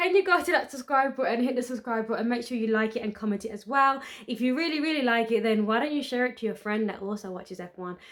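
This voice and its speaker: A woman speaks with a British accent. Her voice is high. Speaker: motorsport podcast host. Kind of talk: casual podcast outro.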